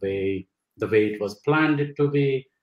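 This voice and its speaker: A somewhat breathy male voice with ordinary pitch variation, audible room echo, and a quiet background. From India. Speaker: dentist and practice owner. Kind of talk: webinar discussion. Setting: online webinar. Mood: enthusiastic, reflective. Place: home room. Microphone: video call.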